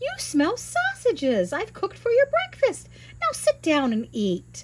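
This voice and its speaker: A woman uses a put-on character voice at a high pitch and a moderate pace, with clear background noise. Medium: read story.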